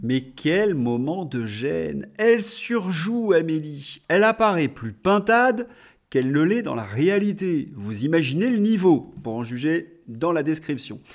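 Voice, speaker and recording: A man speaks very slowly, his pitch fairly high and swinging very widely. The background stays quiet. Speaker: political commentator, video blogger. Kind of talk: angry political rant, sarcastic commentary. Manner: indignant, sarcastic, scornful. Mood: sarcastic, mocking. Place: home room. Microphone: studio mic.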